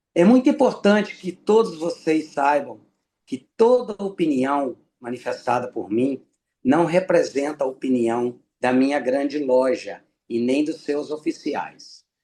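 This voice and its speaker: Speaking at a fairly slow pace, a man uses lively intonation in a dark, mellow tone at a fairly high pitch. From Brazil, Minas Gerais (Ipanema). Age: 60s. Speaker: freemason lecturer. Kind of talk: lecture.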